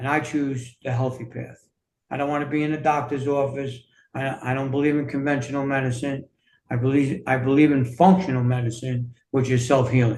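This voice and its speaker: A man's medium-pitched, somewhat breathy voice in a New York accent, fairly quick and flat in a monotone. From US Northeast, New York City. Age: 60s. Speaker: fitness and self-healing coach, author. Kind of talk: interview conversation.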